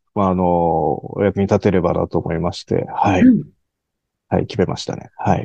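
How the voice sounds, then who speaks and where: Very deep and low, a man's voice has a dark, mellow tone and monotone, flat intonation. He speaks at a moderate pace in a dry, close sound with no echo. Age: 40s. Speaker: sales representative. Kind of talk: interview. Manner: polite, formal; hesitant, many fillers.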